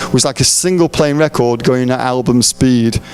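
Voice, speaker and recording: Music plays in the background as a man talks at a moderate pace with ordinary pitch variation. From England. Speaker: preacher. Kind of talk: sermon. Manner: mumbling; halting.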